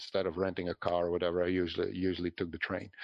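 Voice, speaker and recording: Against a quiet background, a man talks with a Dutch accent. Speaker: franchise business owner. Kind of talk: interview. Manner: halting.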